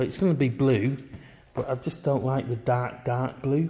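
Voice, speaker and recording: A somewhat breathy man speaks at a fairly slow pace with fairly even intonation. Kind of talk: casual vlog chat. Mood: relaxed, wry. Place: garage. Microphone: phone near.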